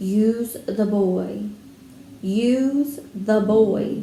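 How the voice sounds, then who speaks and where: A woman performs a put-on character voice at a medium pitch, with a slight echo. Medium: read story.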